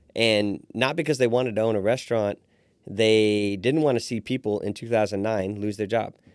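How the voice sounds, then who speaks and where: In a normal speaking voice with an American accent, a man talks at a moderate pace and a fairly low pitch on a very clean recording with a silent background. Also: fairly even intonation. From Fort Wayne, Indiana. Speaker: restaurant owner. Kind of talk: interview.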